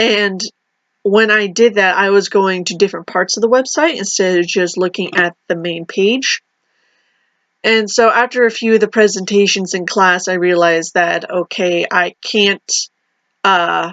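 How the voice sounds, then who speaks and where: The woman's voice sits at a medium pitch with ordinary pitch variation. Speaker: university student. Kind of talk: video reflection monologue. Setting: recorded alone to camera. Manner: fast; hesitant, many fillers.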